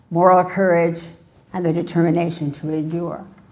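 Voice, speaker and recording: A woman with a fairly low pitch speaks with audible room echo. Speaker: professor. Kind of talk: Q and A; lecture.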